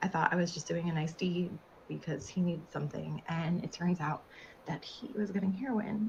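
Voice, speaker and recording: Using a put-on character voice, a woman speaks raspy and fairly low at a moderate pace, with light background noise. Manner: recounting a painful memory.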